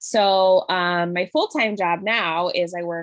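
A woman with an American accent talks at a medium pitch and a fairly slow pace, with ordinary pitch variation. The sound is dry and close, with no echo. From Buffalo, Western New York. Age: 20s. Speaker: home baker and career coach. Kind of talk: casual chat.

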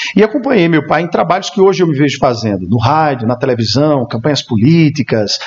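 The voice keeps a moderate pace and very even loudness with lively intonation. Noticeable background noise is present. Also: man. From Brazil, Campina Grande, Paraíba. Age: 30s. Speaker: radio announcer and event emcee. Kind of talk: interview chat.

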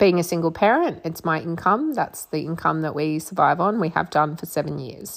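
A woman with an ordinary speaking voice talks at a moderate pace and fairly low pitch, keeping her intonation fairly even. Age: 30s. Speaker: podcast host, psychic medium and mentor. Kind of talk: solo monologue podcast. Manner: casual, with fillers and laughs.

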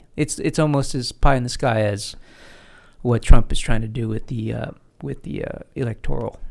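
Loudness swings widely as a man with a plain, everyday voice speaks at a medium pitch and moderate pace with ordinary pitch variation. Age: 50s. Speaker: podcast host. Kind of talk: casual chat. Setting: studio.

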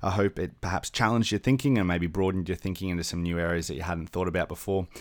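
A man's very deep, low voice with an Australian accent and ordinary pitch variation, on a very clean recording with a silent background. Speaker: podcast host for church leaders. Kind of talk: podcast intro/outro; interview.

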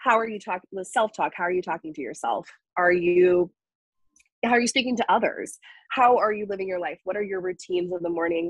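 With an American accent, a woman in an ordinary speaking voice talks at a fairly quick pace and medium pitch, the sound dry and close with no echo. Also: ordinary pitch variation. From US South, North Carolina. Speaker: wellness coach. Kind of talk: casual chat. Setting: studio.

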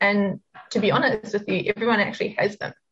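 A woman of medium pitch with a New Zealand accent. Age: 20s. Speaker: psychic and spiritual business coach. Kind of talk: casual interview chat.

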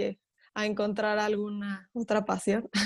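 Pitched fairly high, a woman's voice moves at a moderate speed. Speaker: professional folk dancer. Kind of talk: interview.

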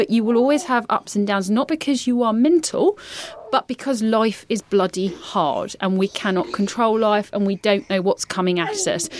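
Over noticeable background noise, a woman with fairly high pitch and lively intonation speaks at a moderate pace with very even loudness, in a dry, close sound with no echo. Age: 30s. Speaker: podcast co-host. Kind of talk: casual chat.

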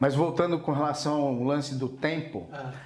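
Noticeable background noise and audible room echo around a man's fairly high voice. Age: 50s. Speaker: entrepreneur. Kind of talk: interview. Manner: casual.

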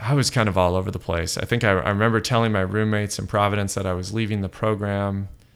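In an American accent, a man with a fairly low pitch talks at a very fast pace with fairly even intonation and hardly any pauses. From US West Coast, Los Angeles. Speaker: app developer, entrepreneur. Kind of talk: interview. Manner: hesitant, many fillers.

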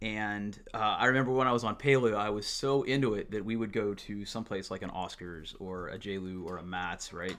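A man's fairly low voice, a normal speaking voice, at a fairly quick pace with hardly any pauses and ordinary pitch variation, on a very clean recording with a silent background. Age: 30s. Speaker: gym member. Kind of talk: casual chat.

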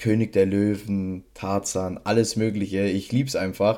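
This is a very clean recording with a silent background. A man talks in a fairly low, dark, mellow voice. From Bavaria, Regensburg. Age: 20s. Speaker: podcast co-host, trading card collector. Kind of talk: casual chat.

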